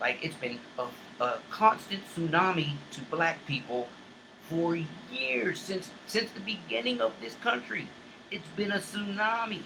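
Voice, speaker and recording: Against noticeable background noise, a man with a high pitch talks at a fairly slow pace, his pitch swinging very widely. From US South, Charleston, South Carolina. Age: 50s. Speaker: online talk show host. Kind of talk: impassioned monologue. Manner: repetitive, halting restarts.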